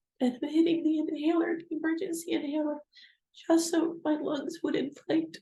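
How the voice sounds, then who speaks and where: This woman's voice sits at an extremely high pitch, yet her tone is dark and mellow. She speaks in a flat monotone. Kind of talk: personal vlog talk to camera. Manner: halting, slow.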